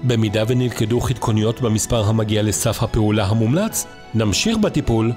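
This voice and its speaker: Over music in the background, a man with a medium pitch speaks at a fairly slow pace with very even loudness. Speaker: voice-over narrator. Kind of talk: instructional product video narration.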